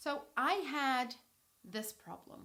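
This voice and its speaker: A woman's bright, sharp tone with lively intonation and a Brazilian accent. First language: Portuguese. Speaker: English teacher. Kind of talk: tutorial storytelling. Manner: clear, measured pace for learners.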